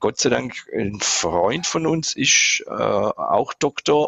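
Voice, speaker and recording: A man speaks with lively intonation. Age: 50s. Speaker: patient. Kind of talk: casual interview, patient testimony.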